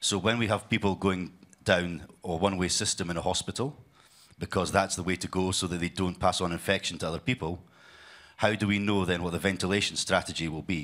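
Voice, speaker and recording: A man talks at a very fast pace in a very deep, low pitch, with fairly even intonation. The recording is very clean, with a silent background. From UK. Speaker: healthcare technology sales leader. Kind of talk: conference presentation.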